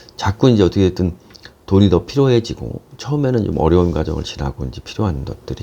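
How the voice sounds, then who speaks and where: Over noticeable background noise, a man with a very deep, low voice talks at a very fast pace with very wide pitch swings. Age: 50s. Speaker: business coach and lecturer. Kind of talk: casual talk to camera.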